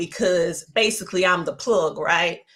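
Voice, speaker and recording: This is a woman's voice. She speaks with a strong Southern US accent. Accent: heavy Southern twang. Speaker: media entrepreneur and educator. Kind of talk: interview.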